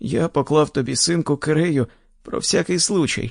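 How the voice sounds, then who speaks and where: A shaky put-on character voice from a man, fairly high-pitched, against a quiet background. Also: moderate pace, dry, close sound with no echo. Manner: sad.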